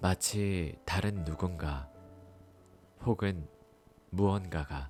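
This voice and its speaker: Over music in the background, a man speaks quietly in a very deep, low pitch with ordinary pitch variation. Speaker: audiobook narrator. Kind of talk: audiobook reading for sleep. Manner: calm, quiet.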